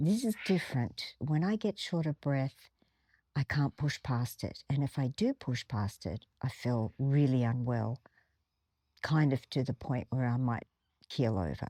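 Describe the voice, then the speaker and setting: A woman's very deep, low voice with a dark, mellow tone comes at a fairly slow pace, recorded dry and close with no echo. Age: 60s. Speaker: former ballerina and video blogger. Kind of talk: personal reflection monologue. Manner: conversational, hesitant.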